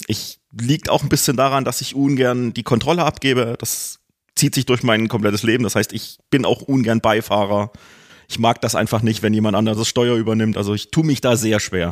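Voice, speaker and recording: In a normal speaking voice, a man talks at a moderate pace and medium pitch with fairly even intonation. The very clean recording has a silent background and a dry, close sound with no echo. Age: 40s. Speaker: BDSM practitioner, rope rigger. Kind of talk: casual interview.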